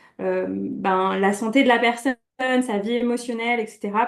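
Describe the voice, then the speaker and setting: Intonation stays fairly even. It is a plain, everyday voice. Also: woman. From France, Brittany. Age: 30s. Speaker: coach. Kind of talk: interview.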